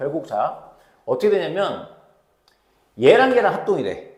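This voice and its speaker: A man speaks in a high voice, with audible echo from the room. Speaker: math tutor. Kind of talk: tutorial. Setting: recorded video lesson. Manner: fast; informal speech to students.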